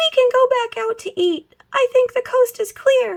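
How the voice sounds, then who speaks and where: A squeaky, put-on character voice that sounds female, pitched extremely high, delivered at a moderate pace. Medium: read story.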